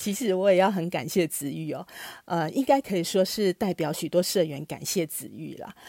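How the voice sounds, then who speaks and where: A woman's fairly low voice with vocal fry, a dark, mellow tone and big swings in loudness, dry and close with no echo on a very clean recording with a silent background. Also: moderate pace. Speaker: podcast host for a consumer cooperative. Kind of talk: interview.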